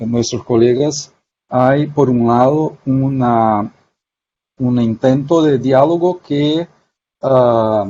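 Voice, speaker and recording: A man with a Portuguese accent, a dark, mellow tone and ordinary pitch variation, at a very slow pace with long, frequent pauses. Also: medium pitch for a man. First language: Portuguese (speaking Spanish). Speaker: sociologist. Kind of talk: academic panel talk. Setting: video call. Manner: halting.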